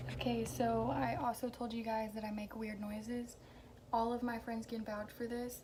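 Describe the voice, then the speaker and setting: Amid noticeable background noise and audible room echo, a woman with an American accent and a fairly high pitch talks at a moderate pace with ordinary pitch variation. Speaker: vlogger. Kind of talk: casual chat. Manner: casual, hesitant with fillers.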